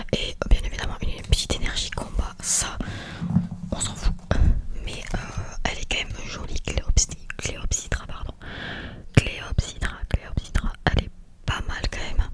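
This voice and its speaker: A woman whispering in a relaxed tone at a fairly slow pace, with long, frequent pauses and noticeable background noise. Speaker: ASMR artist. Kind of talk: ASMR card-opening talk to camera. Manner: soft, repetitive, relaxed.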